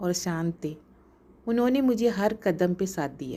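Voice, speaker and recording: On a very clean recording with a silent background, a woman speaks with a Malayalam accent. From Kerala, India (Thrissur). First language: Malayalam (speaking Hindi). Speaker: entrepreneur. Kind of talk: scripted narration.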